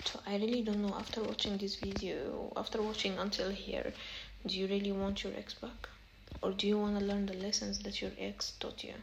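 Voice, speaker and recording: A woman with an Arabic accent speaks at a fairly quick pace. Noticeable background noise and audible room echo fill the recording. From Egypt. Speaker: self-help vlogger. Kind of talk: casual advice monologue. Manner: halting, repetitive.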